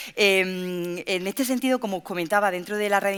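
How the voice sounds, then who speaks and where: On a very clean recording with a silent background, a woman's voice can be heard. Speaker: workplace safety researcher. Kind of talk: panel talk. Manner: fast.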